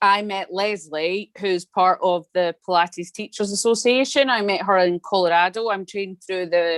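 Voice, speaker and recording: In a Scottish accent, a woman speaks at a fairly slow pace and medium pitch. Her pitch variation is ordinary, and the sound is dry and close with no echo. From Scotland. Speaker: Pilates studio owner. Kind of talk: video call introduction.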